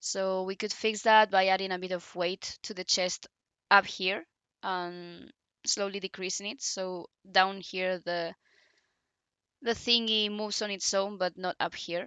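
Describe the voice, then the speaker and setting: A woman with a non-native accent speaks at a fairly slow pace, her pitch medium. Her intonation stays flat and monotone, broken by long, frequent pauses. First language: not English. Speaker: modding tutorial creator. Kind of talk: tutorial. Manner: casual, hesitant.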